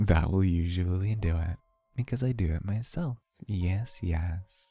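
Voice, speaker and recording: A man's very deep, low, somewhat breathy voice with a dark, mellow tone, ordinary pitch variation and a fairly slow pace. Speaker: vtuber streamer. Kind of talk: casual live stream chat with ASMR. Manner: relaxed.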